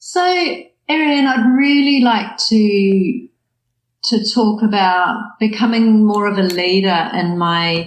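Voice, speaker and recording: Speaking very slowly in a New Zealand accent, a woman keeps her loudness very even, her fairly high voice showing ordinary pitch variation. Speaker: coach and hypnotherapist. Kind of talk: coaching session.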